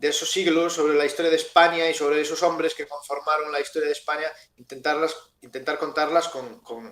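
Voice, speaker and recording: A man's plain, everyday voice, fairly high in pitch, at a fairly quick pace with fairly even intonation. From Galicia, Spain (Ferrol). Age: 30s. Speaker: novelist. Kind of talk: interview.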